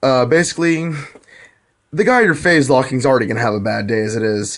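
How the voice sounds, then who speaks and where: Medium in pitch, a man talks at a fairly quick pace with lively intonation. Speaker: gaming video creator. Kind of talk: casual game tutorial. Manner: fast.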